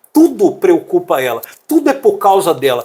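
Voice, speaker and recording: A man's voice with very wide pitch swings. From Brazil, Paraná and Belo Horizonte. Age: 60s. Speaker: musician and preacher. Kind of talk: interview.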